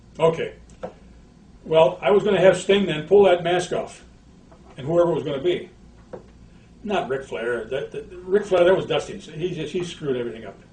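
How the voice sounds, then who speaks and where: Big swings in loudness and long, frequent pauses mark this moderately paced speech, which has ordinary pitch variation and noticeable background noise. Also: man, high pitch for a man. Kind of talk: archive interview clip.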